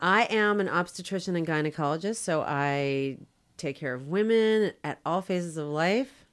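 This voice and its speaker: A plain, everyday voice at a moderate pace, with lively intonation. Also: woman, fairly low pitch for a woman, very clean recording, silent background. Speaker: doctor. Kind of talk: interview. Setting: studio.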